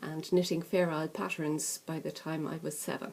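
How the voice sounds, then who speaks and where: In an Irish accent, a woman with a very deep, low pitch talks at a moderate pace. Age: 50s. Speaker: crafting vlogger. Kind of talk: casual chat. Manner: chatty, hesitant with many fillers.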